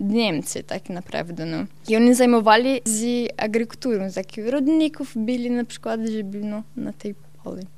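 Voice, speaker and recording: The speech moves at a fairly slow pace with ordinary pitch variation. Its loudness swings widely. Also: woman. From southern Brazil, Santa Catarina. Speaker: Brazilian immigrant in Poland. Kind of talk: radio interview. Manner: halting.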